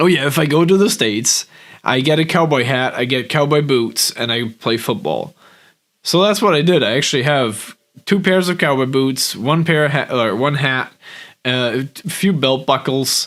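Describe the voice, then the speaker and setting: The recording is very clean with a silent background. A man with a fairly high pitch talks at a moderate pace with ordinary pitch variation. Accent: German. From Germany. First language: German. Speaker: business coach. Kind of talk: vlog monologue. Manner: hesitant, many fillers.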